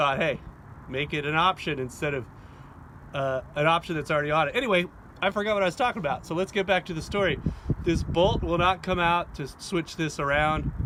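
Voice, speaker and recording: Loud and bright with a sharp tone, a man at a high pitch talks at a fairly quick pace with ordinary pitch variation. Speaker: hobby farmer demonstrating tool tips. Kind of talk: casual how-to tutorial. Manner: casual, rambling with fillers.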